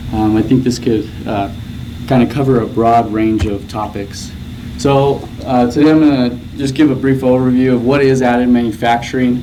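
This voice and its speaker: Audible room echo and noticeable background noise both color this man's speech. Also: medium pitch for a man, fairly even intonation, moderate pace. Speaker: graduate student researcher presenting. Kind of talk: conference presentation. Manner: soft-spoken; hesitant, many fillers.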